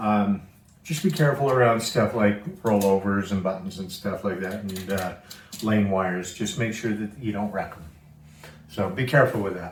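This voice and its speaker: Fairly low pitch from a man, medium tempo, ordinary pitch movement, and audible echo from the room. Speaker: pinball restoration video maker. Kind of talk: casual restoration vlog / tutorial. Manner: relaxed, with many filler words.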